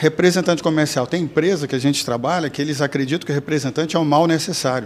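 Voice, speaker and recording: Over noticeable background noise, a man talks very fast with fairly even intonation. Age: 50s. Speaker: sales trainer and speaker. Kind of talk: casual interview.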